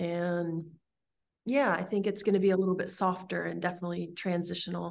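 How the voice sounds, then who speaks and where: This is an unremarkable speaking voice with an American accent. The pace is fairly quick and the intonation fairly even. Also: woman, fairly low pitch for a woman. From California. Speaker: herbalist and body care entrepreneur. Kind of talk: interview conversation.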